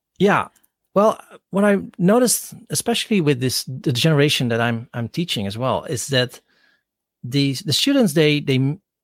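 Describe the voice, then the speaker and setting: With a Dutch accent and lively intonation, a man talks at a moderate pace in a dry, close sound with no echo on a very clean recording with a silent background. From Netherlands, Rotterdam. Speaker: professor, podcaster. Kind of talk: casual interview. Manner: hesitant, many fillers and repetitions.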